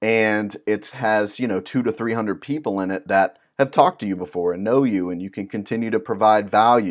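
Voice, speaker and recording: A normal speaking voice from a man, fairly low in pitch, at a fairly quick pace with hardly any pauses and ordinary pitch variation. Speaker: music business consultant. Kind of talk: tutorial. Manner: casual, with many fillers.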